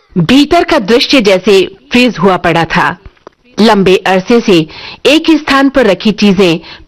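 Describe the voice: Lively intonation carries the speech. It is plain reading aloud.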